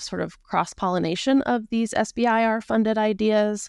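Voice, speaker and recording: A woman talks at a moderate pace in an ordinary speaking voice with ordinary pitch variation. The background is quiet. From US, rural Montana. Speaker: government science program manager. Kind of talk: interview.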